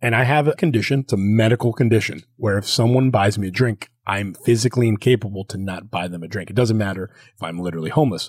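A man talks very fast with hardly any pauses, his fairly low voice somewhat breathy. Pitch varies in an ordinary way, and the sound is dry and close with no echo. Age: 30s. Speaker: podcast host. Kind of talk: casual chat.

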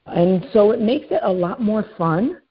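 Speaking with an American accent, a woman has an ordinary speaking voice. She goes at a fairly slow pace with ordinary pitch variation. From New York City. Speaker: realtor. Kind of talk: casual interview.

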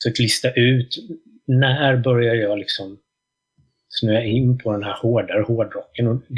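Somewhat breathy and monotone, the voice moves at a fairly slow pace with flat intonation. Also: man, medium pitch for a man. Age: 40s. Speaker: drummer and music journalist. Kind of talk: casual interview chat.

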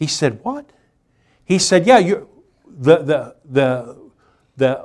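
Fairly high in pitch, a man speaks with lively intonation. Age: 60s. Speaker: pastor. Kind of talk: sermon. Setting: church livestream. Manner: animated.

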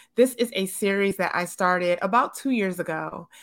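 An unremarkable speaking voice from a woman with an American accent, medium pitch, ordinary pitch variation and moderate pace, in a very clean recording with a silent background. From Detroit, Michigan. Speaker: children's book author and illustrator. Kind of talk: interview.

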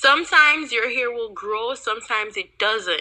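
In a very clean recording with a silent background, a woman with a Jamaican accent speaks at a fairly slow pace, her tone bright and sharp and her intonation lively. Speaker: YouTuber. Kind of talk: casual chat.

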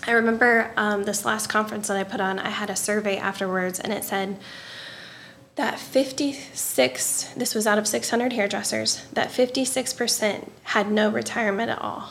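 A woman with a fairly high pitch talks at a fairly slow pace with fairly even intonation in a southern Illinois accent. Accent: US Midwest, rural southern Illinois. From Southern Illinois, Marion area. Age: 30s. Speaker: hairdresser and salon business coach. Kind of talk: casual interview chat. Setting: studio.

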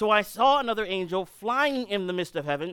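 A loud, high-pitched male voice with a bright, sharp tone, in a very clean recording with a silent background. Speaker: preacher. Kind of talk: sermon. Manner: urgent, emphatic.

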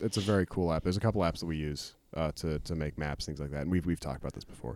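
A man speaks with a very deep, low pitch at a very fast pace, with ordinary pitch variation and hardly any pauses, in a very clean recording with a silent background. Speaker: podcast host. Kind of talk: casual chat.

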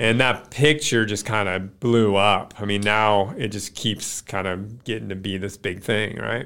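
Fairly low in pitch, a man speaks at a fairly slow pace with fairly even intonation and a bright, sharp tone. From Alaska, Kenai Peninsula. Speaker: former BMX pro rider. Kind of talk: testimony.

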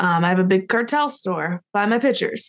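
A normal speaking voice from a woman at medium pitch and moderate pace, dry and close with no echo, over a quiet background. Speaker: professional wrestler. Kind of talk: casual chat. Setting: video call.

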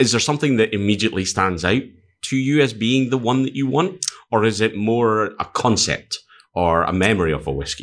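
A man in a Scottish accent speaks at a fairly quick pace with a medium pitch and lively intonation. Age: 40s. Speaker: podcast host. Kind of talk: casual chat.

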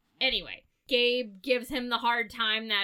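A plain, everyday voice from a woman, fairly high in pitch, at a moderate pace. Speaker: podcast host. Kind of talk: casual chat.

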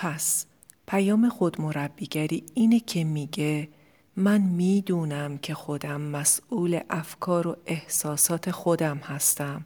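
A woman with a dark, mellow tone, fairly low pitch and ordinary pitch variation at a very slow pace, in a very clean recording with a silent background. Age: 40s. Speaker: life coach and podcast host. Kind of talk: solo podcast monologue.

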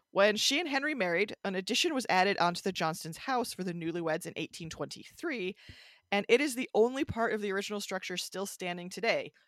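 A woman speaks at a very fast pace and medium pitch, with lively intonation. The recording is very clean, with a silent background and a dry, close sound with no echo. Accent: Midwestern American. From US Midwest, Michigan. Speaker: podcast co-host. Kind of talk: casual chat about local ghost stories.

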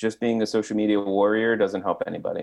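Over a quiet background, a man with an American accent talks at a fairly quick pace in an ordinary speaking voice, fairly low in pitch. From northeast New Jersey. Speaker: pastor. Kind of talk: casual interview.

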